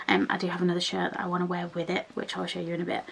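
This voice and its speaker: A woman with a British accent speaks over noticeable background noise. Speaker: lifestyle vlogger. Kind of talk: casual vlog. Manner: chatty, with many fillers.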